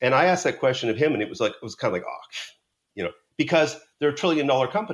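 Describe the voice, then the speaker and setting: Talking at a very fast pace, a man with a fairly high pitch swings very widely in pitch and shows big shifts in loudness. Vocal fry comes through on a very clean recording with a silent background. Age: 60s. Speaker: sales negotiation author and trainer. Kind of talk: podcast interview.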